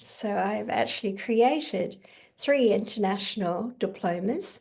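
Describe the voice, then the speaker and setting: This voice belongs to a woman. She speaks in an Australian accent. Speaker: kinesiologist and educator. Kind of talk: online conference presentation.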